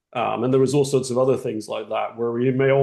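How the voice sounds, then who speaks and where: A man's medium-pitched voice with an English accent and a dark, mellow tone. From England. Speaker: webinar attendee. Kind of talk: casual discussion comment.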